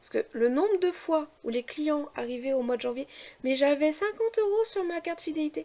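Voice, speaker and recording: With a dark, mellow tone and high pitch, a woman speaks at a moderate pace with hardly any pauses, lively intonation, and big swings in loudness. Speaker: family vlogger. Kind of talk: casual vlog talk. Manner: hesitant, many fillers.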